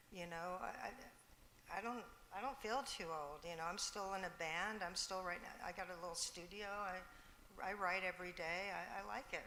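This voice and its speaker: A woman speaks at a fairly quick pace with medium pitch. Audible room echo colors the recording. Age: 60s. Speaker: musician. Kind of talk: panel discussion. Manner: halting.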